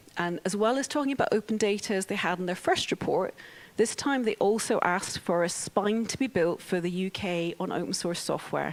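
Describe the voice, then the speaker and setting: This woman has a Scottish accent and a medium pitch. She talks at a fairly quick pace with ordinary pitch variation. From Scotland. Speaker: open technology organisation CEO. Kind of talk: conference talk.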